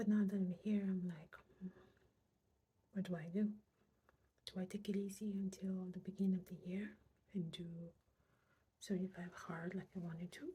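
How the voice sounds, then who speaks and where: At a moderate pace with long, frequent pauses, a somewhat breathy woman speaks at medium pitch in a dark, mellow tone with a monotone, flat intonation. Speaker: weight loss vlogger. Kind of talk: casual vlog. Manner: whispering.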